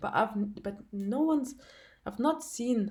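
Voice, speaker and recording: Her tone dark and mellow, the woman talks in a non-native accent. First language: not English. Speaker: spiritual testimony vlogger. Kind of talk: testimony. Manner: halting, many fillers and restarts.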